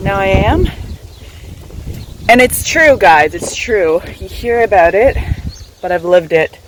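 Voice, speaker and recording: Over noticeable background noise, a woman talks at a fairly slow pace with long, frequent pauses, big swings in loudness and lively intonation. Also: medium pitch for a woman. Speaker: travel vlogger. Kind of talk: casual vlog.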